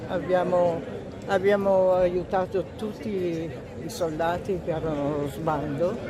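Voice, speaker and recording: A woman speaks very slowly in a fairly low voice with fairly even intonation, crowd noise behind her and audible room echo. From northern Italy, Veneto (Cimbrian, Cansiglio). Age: 90s. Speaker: war veteran. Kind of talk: interview.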